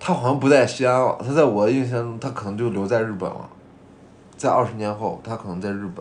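A man's voice at medium pitch, very fast pace and ordinary pitch variation, with audible room echo. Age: 20s. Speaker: podcast co-host. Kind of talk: casual chat.

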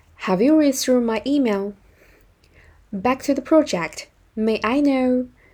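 A woman speaks at a fairly slow pace in a Chinese accent, her high voice dark and mellow in tone. Her pitch varies in an ordinary way, broken by long, frequent pauses. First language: Mandarin Chinese. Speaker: business English teacher. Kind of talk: tutorial. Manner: slow, clear phrase-by-phrase reading.

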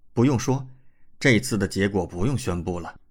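The clip features a natural reading voice. That is how it sounds throughout.

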